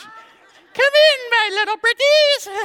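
An extremely high-pitched, put-on character voice. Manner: cackling, sinister.

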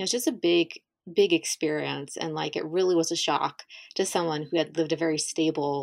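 A woman with a southern Ohio accent speaks at a fairly quick pace in a very deep, low pitch, her intonation fairly even. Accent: Midland American (southern Ohio). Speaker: podcast host. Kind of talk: casual interview.

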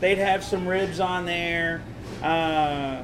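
Over noticeable background noise, a man speaks in a high voice with fairly even intonation. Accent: Southern US. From Tennessee (Nashville, Smithville). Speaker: barbecue restaurant owner. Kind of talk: casual interview.

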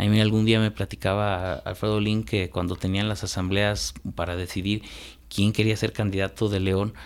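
Recorded very cleanly with a silent background, a normal speaking voice moves at a moderate pace with fairly even intonation. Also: man, fairly low pitch for a man. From Guanajuato, Mexico. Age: 40s. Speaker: lawyer and columnist. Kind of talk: radio interview. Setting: radio studio.

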